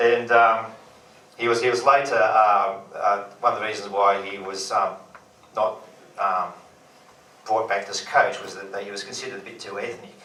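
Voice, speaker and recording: A man with an Australian accent talks at a fairly low pitch in a monotone, flat intonation, with big swings in loudness and long, frequent pauses, amid noticeable background noise and audible room echo. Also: moderate pace. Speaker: comedian. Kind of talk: stand-up. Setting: stage with audience.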